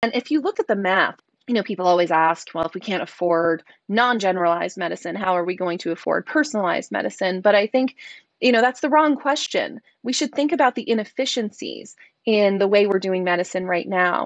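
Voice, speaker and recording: Against a quiet background, a woman speaks at a fairly quick pace with lively intonation. The sound is dry, with no echo. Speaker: guest. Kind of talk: interview answer. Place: home room. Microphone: earbuds.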